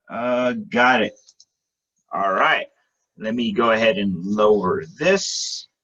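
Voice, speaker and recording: Loud, bright, sharp man's voice at medium pitch, very slow with long, frequent pauses and very wide pitch swings. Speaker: webinar presenter for insurance business. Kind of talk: sales presentation webinar. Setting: video call webinar.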